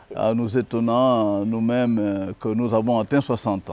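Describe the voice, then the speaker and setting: A fairly slow man at a medium pitch. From DR Congo. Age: 60s. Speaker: lawyer and commentator. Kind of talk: interview. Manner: hesitant, many fillers.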